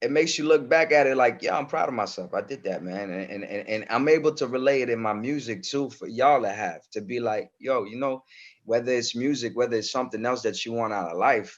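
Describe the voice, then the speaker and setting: A man with a New York accent talks at a fairly quick pace with hardly any pauses, his medium pitch showing ordinary variation. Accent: New York accent learned from rap. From Comoros, raised in France. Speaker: rapper. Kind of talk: interview. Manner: halting, many repeated words.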